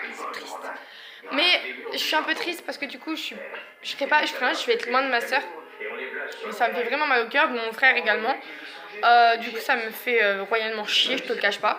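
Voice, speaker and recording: Long, frequent pauses break up fairly quick speech over noticeable background noise. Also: woman, high pitch for a woman, ordinary pitch variation. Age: 20s. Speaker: vlogger, young mother. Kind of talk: casual vlog monologue. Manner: hesitant, many fillers.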